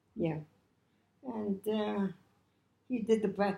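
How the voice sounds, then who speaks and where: This voice has a dark, mellow tone and a New York accent, with very wide pitch swings. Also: woman. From New York City, Lower East Side. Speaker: Depression-era survivor. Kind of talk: interview answer.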